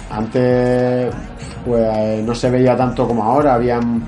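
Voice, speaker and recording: Audible room echo and noticeable background noise around a man's fairly even intonation. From Galicia, Spain. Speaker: MMA fighter. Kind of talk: interview.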